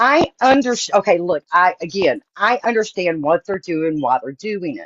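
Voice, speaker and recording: A woman speaks in a Southern accent at medium pitch and a moderate pace. Her pitch swings very widely and her loudness shifts a lot, with a dry, close sound and no echo. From Texas. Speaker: astrologer. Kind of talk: casual chat.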